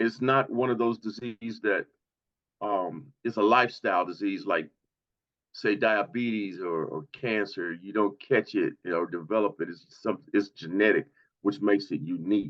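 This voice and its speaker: A man with a fairly low voice talks at a moderate speed, his pitch varying in an ordinary way. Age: 60s. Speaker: patient advocate. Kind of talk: testimony. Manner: halting.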